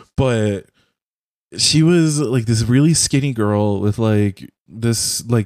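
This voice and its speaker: A man with a General American accent talks at a very slow pace in a medium-pitched, dark, mellow voice with ordinary pitch variation and a dry, close sound free of echo. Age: 20s. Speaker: podcast host and streamer. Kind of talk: casual chat. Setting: video call.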